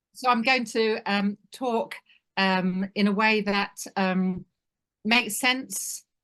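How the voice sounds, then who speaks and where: A woman with a British accent talks at a very slow pace in a bright, sharp tone, her intonation fairly even against a quiet background. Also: medium pitch for a woman. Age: 60s. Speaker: family business advisor. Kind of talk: webinar presentation.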